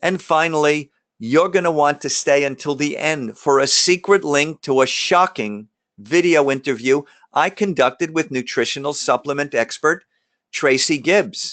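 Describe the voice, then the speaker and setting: Against a quiet background, a man with a New York accent speaks at a fairly high pitch, with ordinary pitch variation and a moderate pace. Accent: New York area. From New Jersey (Jersey Shore, Lakewood). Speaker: emergency doctor. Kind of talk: webinar presentation. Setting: live webinar. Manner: casual, some stumbling and fillers.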